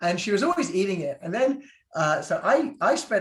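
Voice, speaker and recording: A man is speaking. He has a British accent. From Britain. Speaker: physician. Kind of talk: Q&A talk on a video call. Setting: video call. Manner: casual, hesitant with fillers.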